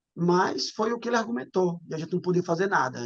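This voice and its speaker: Using an ordinary speaking voice, a man speaks at a moderate pace with a fairly high pitch. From Brazilian Northeast, Paraíba. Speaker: former footballer, relative of a murder victim. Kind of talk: interview testimony.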